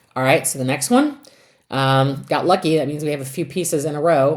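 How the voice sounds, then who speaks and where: There is audible room echo around a woman's very deep, low voice. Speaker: math teacher. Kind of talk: lecture.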